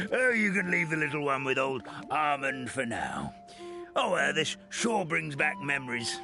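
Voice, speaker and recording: Clear music plays behind a man doing a cartoonish character voice at a fairly high pitch and a moderate pace. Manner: chuckling, warm.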